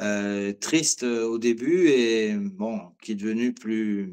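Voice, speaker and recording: In a quiet setting, a man talks at a medium pitch with ordinary pitch variation. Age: 40s. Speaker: watch collector. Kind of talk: interview. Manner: hesitant, many fillers.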